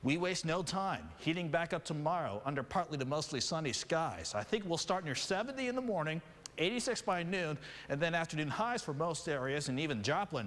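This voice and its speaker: This man has an ordinary speaking voice, pitched fairly high, with lively intonation and a fairly quick pace. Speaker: TV meteorologist. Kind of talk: TV weather forecast.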